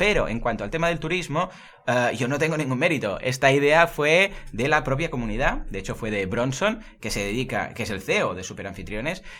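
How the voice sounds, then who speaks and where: The voice has a bright, sharp tone, a moderate pace and very wide pitch swings. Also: man. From Murcia, Spain. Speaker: online marketing podcaster. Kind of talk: casual interview. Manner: energetic.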